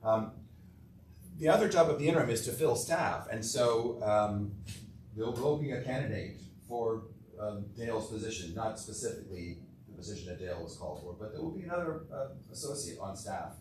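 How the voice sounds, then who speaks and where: Amid noticeable background noise and audible room echo, a man with a medium pitch talks at a fairly quick pace, with lively intonation and big swings in loudness. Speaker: interim priest. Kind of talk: adult education talk with Q&A. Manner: fast.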